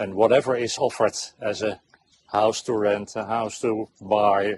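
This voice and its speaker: A man's fairly low, monotone voice with a Dutch accent, flat in intonation and at a moderate pace. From Netherlands. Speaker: expat homeowner. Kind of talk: casual interview. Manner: halting.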